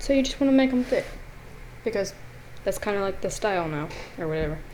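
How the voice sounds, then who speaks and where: Very fast mumbling from a woman at a fairly high pitch, with very wide pitch swings and audible room echo. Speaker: art tutorial channel host. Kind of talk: tutorial. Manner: casual, mumbling.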